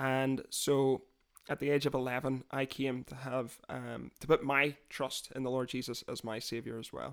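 Monotone, flat delivery with a Northern Irish accent at a moderate pace, big swings in loudness, and a very clean recording with a silent background. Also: man, medium pitch for a man. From Northern Ireland, near Londonderry. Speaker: podcast host. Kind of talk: casual chat.

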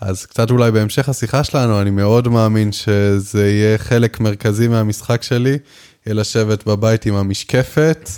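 Speaking at a fairly slow pace, a man has a dark, mellow tone. His pitch sits at a medium level. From Israel, Jerusalem. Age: 20s. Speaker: professional poker player and coach. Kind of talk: casual interview.

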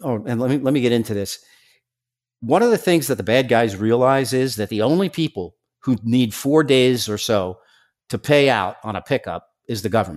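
On a very clean recording with a silent background, a man with an American accent uses a normal speaking voice at a medium pitch, moving at a moderate pace with lively intonation. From New York, Staten Island. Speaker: former drug enforcement undercover agent. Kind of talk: interview.

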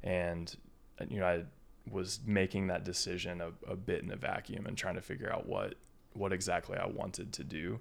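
A man with an American accent speaks at a moderate pace in a very deep, low voice with vocal fry. His pitch varies in an ordinary way. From Indiana. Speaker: business school student and army veteran. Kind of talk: casual chat.

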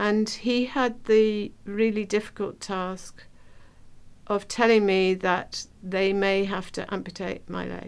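Slowly and with fairly even intonation, a woman talks at a medium pitch.

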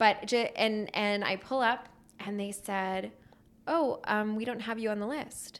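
A woman's unremarkable speaking voice with an American accent, fairly slow, fairly high in pitch, with fairly even intonation. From US Northeast, Pennsylvania near Philadelphia. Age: 30s. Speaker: screenwriter and actress. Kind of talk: casual interview chat.

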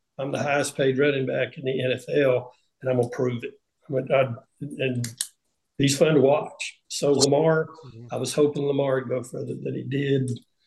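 A man with a Southern US accent speaks at medium pitch and a moderate pace, with vocal fry and monotone, flat intonation. His loudness swings widely. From US South, Tennessee. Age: 60s. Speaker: retired NFL punter. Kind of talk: panel discussion.

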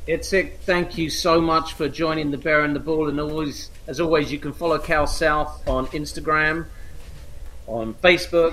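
A man speaks in an ordinary speaking voice. The pitch is fairly high and varies in an ordinary way. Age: 50s. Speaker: podcast host. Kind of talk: interview.

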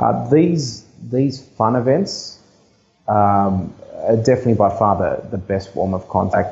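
A somewhat breathy voice with an Australian accent, ordinary pitch variation and a fairly slow pace. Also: man, fairly low pitch for a man. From Sydney, Australia (Blacktown, western Sydney). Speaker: real estate agent. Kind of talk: interview. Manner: halting.

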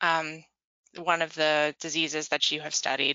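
Her voice plain, a woman speaks at a fairly low pitch and a moderate pace, with a plain, everyday voice. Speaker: podcast host and magazine editor. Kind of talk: interview, scripted intro.

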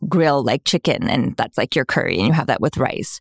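A woman talks with a very deep, low pitch. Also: dry, close sound with no echo, very clean recording, silent background. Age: 40s. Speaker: fitness coach and kinesiologist. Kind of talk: casual interview chat. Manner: animated, filler-heavy (like, right).

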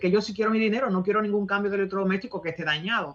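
The woman speaks at a medium pitch. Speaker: radio co-host. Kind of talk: radio talk show. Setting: phone call. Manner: halting.

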